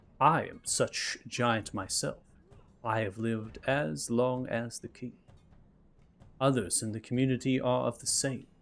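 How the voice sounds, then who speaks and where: A man uses a put-on character voice at a medium pitch. He keeps a moderate pace with long, frequent pauses. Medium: actual play. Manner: formal, archaic, stern.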